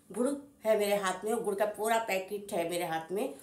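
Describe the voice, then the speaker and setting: A woman with a medium-pitched voice speaks at a moderate pace over noticeable background noise. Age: 50s. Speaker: home cook. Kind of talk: casual talk to camera.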